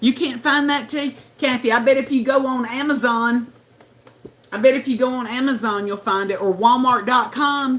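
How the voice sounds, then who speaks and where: A woman with a high pitch speaks at a moderate pace with fairly even intonation over noticeable background noise. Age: 60s. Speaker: livestreamer. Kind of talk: casual chat. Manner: chatty.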